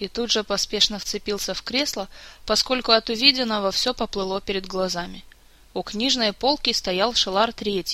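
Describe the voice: The pitch varies in an ordinary way during this plain reading aloud.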